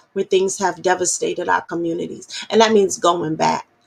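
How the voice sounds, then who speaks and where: A woman is speaking. Her tone is animated. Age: adult. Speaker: activist radio host. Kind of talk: political talk show monologue. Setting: virtual broadcast. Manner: impassioned, animated.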